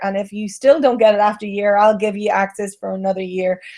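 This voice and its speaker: This woman's voice has a dark, mellow tone. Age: 40s. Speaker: photography teacher. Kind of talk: live webinar sales pitch. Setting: live online video broadcast. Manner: casual, with frequent fillers and restarts.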